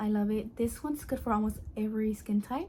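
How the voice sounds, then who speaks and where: A soft-spoken woman's voice, fairly high in pitch, with fairly even intonation. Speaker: beauty vlogger. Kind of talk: product review vlog. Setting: at home at night. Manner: quiet, speaking softly at night; casual, filler-heavy.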